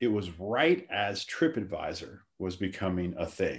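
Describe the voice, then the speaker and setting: Against a quiet background, a man with a Louisiana accent speaks with very wide pitch swings. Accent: Southern US (Louisiana). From US South, Lafayette, Louisiana. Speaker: startup founder. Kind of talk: podcast interview.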